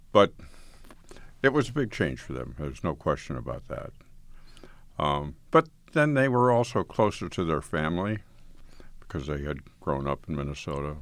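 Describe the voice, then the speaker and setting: A man's very deep, low voice with an American accent, vocal fry, very wide pitch swings, a relaxed tone, a moderate pace and long, frequent pauses. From northeastern Colorado, US. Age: 80s. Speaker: blind community member telling life story. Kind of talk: recorded interview, reminiscing. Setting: recording studio. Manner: conversational, relaxed, laughs.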